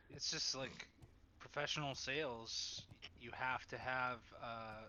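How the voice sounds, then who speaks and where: A man speaks very slowly at a medium pitch. His intonation stays fairly even. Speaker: gamer, works in sales. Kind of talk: casual chat. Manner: trained, varied intonation.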